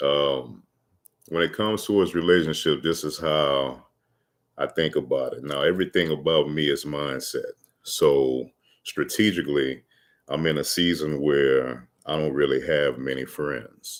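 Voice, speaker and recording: Speaking with a Louisiana accent, a man goes at a fairly slow pace, his very deep, low voice carrying fairly even intonation. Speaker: motivational vlogger. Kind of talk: casual livestream monologue. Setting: livestream. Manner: halting, many fillers.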